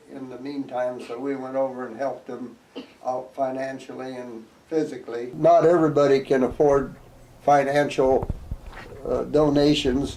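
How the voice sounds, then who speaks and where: A man with an American accent at medium pitch and moderate pace, flat and monotone, amid noticeable background noise and audible room echo. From US Midwest, central Iowa. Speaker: retired community volunteer. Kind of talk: interview testimony.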